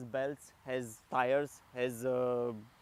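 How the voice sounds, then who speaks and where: A man speaks with a Romanian accent. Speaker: product reviewer. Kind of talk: product review. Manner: halting.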